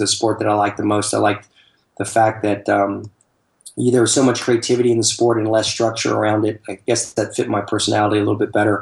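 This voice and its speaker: A man's fairly low, flat monotone voice with vocal fry, rushing at a very fast pace. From US South, Atlanta, Georgia. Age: 50s. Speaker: soccer travel company owner, ex-professional player. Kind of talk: interview. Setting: Skype call.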